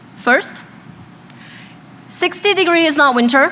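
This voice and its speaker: Delivered at a fairly slow pace with very wide pitch swings, the speech carries audible room echo and noticeable background noise. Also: woman. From China (Shenzhen). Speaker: graduate student speaker. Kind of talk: commencement speech. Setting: stage with audience.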